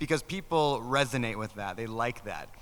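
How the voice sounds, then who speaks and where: A man's very fast speech at a medium pitch, bright and sharp in tone, with ordinary pitch variation. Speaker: real estate podcast host. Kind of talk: panel discussion.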